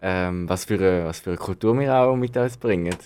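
In a very clean recording with a silent background, a man with a fairly low voice talks at a fairly quick pace with ordinary pitch variation. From Switzerland, Zürich. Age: 20s. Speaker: youth organization member. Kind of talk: interview. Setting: studio. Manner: hesitant, many fillers.

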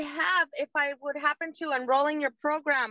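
In a dry, close sound with no echo, a woman uses a raised, projected voice with a bright, sharp tone at a moderate pace. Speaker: caller. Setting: video call.

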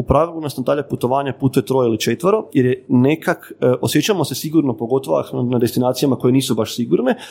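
Speaking very fast, a man has a dark, mellow tone, a medium pitch and ordinary pitch variation. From northern Croatia, Ivanec/Varaždin area. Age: 30s. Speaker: travel photographer and influencer. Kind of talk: casual interview chat.

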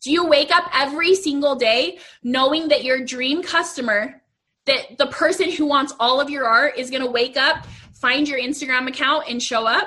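Using a raised, projected voice, a woman speaks at a moderate pace with a high pitch and ordinary pitch variation. Her tone is bright and sharp. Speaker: business coach for artists. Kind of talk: live Q&A / coaching chat. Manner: casual, conversational.

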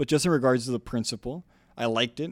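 Dry and close with no echo, a very clean recording on a silent background captures a man with an American accent and fairly even intonation. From US South, Brownsville, South Texas. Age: 20s. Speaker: political candidate, engineer. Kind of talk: interview. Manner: halting, many repeated words.

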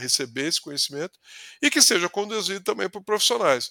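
A man speaks with lively intonation and a bright, sharp tone. The sound is dry and close, with no echo. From interior of São Paulo state, Brazil (Ribeirão Preto region). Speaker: sales executive. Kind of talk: casual interview conversation. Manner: halting, with frequent word repetitions.

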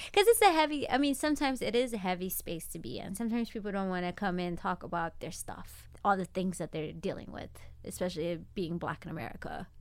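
A woman talks at a very fast pace with hardly any pauses. Her pitch swings very widely. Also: medium pitch for a woman. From Ethiopia. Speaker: corporate social responsibility manager and nonprofit organizer. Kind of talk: casual chat.

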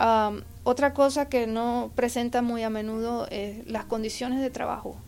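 In a very clean recording with a silent background, a woman with a plain, everyday voice speaks at a fairly high pitch and a fairly slow pace with fairly even intonation. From Puerto Rico. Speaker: forensic psychologist. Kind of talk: interview.

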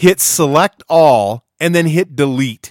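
On a very clean recording with a silent background, a man talks in a stern, relaxed tone. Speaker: podcast host, business leadership. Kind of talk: solo podcast monologue, business advice; pep talk. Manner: blunt, punchy, bossy, jokingly stern; relaxed, conversational.

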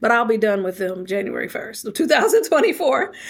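Speaking at a fairly quick pace, a woman uses a normal speaking voice at a fairly high pitch. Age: 40s. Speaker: author and speaker. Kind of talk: interview.

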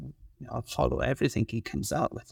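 A man with a Welsh accent, on a very clean recording with a silent background and a dry, close sound free of echo. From Wales. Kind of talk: casual chat.

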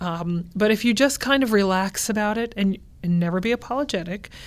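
Using an ordinary speaking voice, a woman talks at a moderate pace in a medium pitch with ordinary pitch variation. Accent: American. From California. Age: 40s. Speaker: opera singer. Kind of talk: interview.

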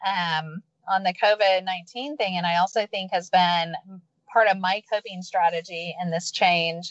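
A woman with an ordinary speaking voice talks fairly slowly at a medium pitch, her intonation fairly even. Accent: American. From Texas, Houston. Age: 50s. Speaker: entrepreneur and former speech pathologist. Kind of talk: interview. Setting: in a parked car, remote call.

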